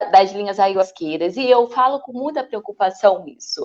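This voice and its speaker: With ordinary pitch variation, a woman talks in a medium-pitched voice. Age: 30s. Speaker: city council candidate. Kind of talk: online panel discussion. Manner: halting, many fillers.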